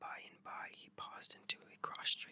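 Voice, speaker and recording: The speaker is whispering. The sound is dry and close with no echo. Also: woman. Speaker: ASMR channel host reading aloud. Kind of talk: whispered ASMR story reading for sleep. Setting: headphone-oriented binaural recording, left and right.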